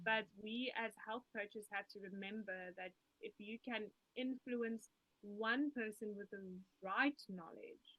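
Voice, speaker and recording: In a South African accent, a woman with a bright, sharp tone and fairly high pitch speaks at a fairly slow pace with fairly even intonation, the sound dry and close with no echo. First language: Afrikaans. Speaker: musician and health coach. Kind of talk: interview.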